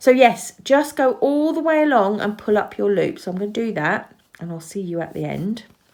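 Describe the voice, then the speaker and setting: A woman with an English accent at medium pitch, fairly quick, with very wide pitch swings and big swings in loudness. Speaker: crochet teacher. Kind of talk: tutorial. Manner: casual, chatty with hesitations.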